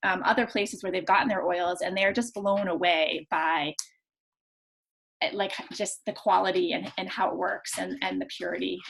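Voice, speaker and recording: The speaker has vocal fry and lively intonation. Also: woman, medium pitch for a woman. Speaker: nurse and essential oils workshop host. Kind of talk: online workshop presentation. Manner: fast; casual, many fillers.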